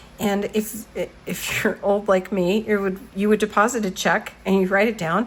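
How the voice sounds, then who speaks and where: Noticeable background noise sits behind a woman speaking at a moderate pace. Her medium-pitched voice has monotone, flat intonation. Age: 60s. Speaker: journaling vlogger. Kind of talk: casual tutorial walkthrough. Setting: home studio. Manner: halting, many fillers.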